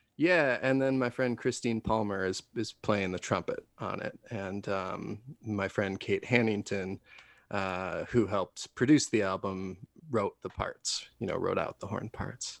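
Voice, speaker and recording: A man speaks at a fairly slow pace in an unremarkable speaking voice, with a fairly low pitch and ordinary pitch variation. He has an American accent, and the sound is dry and close with no echo. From Wisconsin. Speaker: singer-songwriter. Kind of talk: interview. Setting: video call.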